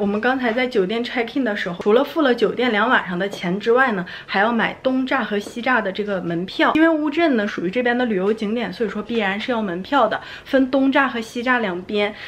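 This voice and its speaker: A woman talks at a fairly quick pace with hardly any pauses and ordinary pitch variation over light background noise. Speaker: travel vlogger. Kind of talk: casual vlog chat. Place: home room. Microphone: phone near.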